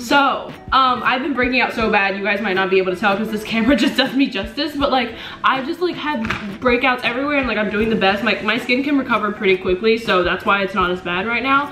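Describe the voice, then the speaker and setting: A woman talking at a very fast pace over noticeable background noise. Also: ordinary pitch variation. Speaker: vlogger. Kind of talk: casual vlog chat, Q&A. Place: home room. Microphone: camera far.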